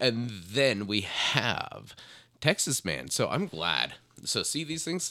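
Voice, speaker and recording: Very slowly and with vocal fry, a man with a bright, sharp tone makes very wide pitch swings on a very clean recording with a silent background. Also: medium pitch for a man. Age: 30s. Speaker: podcast co-host. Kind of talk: casual chat. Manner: halting.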